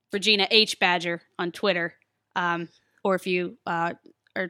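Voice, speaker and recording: Recorded very cleanly with a silent background and a dry, close sound with no echo, a woman speaks at a medium pitch in a bright, sharp tone. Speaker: pro wrestler. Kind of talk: casual panel discussion. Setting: studio.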